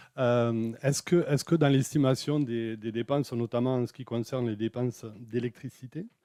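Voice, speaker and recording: A man's dark, mellow tone at a moderate pace, hardly any pauses, and a dry, close sound with no echo. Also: medium pitch for a man, fairly even intonation. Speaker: municipal councillor. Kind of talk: council meeting debate. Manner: halting, many repetitions.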